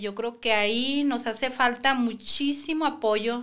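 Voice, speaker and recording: The background is quiet. A woman speaks in a fairly high, bright, sharp voice with fairly even intonation. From Mexico, Sinaloa (Guasave area); Sinaloa, Mexico. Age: 50s. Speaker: preschool teacher, cancer survivor; podcast guest. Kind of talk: podcast interview. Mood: earnest, reflective. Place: studio. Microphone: studio mic.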